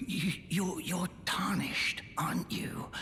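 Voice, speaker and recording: A man speaks at a fairly slow pace in a high, put-on character voice. Clear background noise runs behind him. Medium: video game. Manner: stammering, wheedling.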